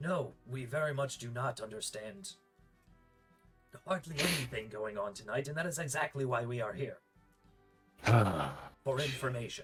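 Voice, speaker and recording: Faint music plays behind someone performing a put-on character voice. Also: man, medium pitch for a man, moderate pace. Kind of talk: tabletop roleplay character voice. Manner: formal, polite.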